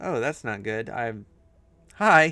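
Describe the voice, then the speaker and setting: A man mumbles with lively intonation. Music plays in the background. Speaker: streamer and digital artist. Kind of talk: casual live-stream chat while drawing. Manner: mumbling.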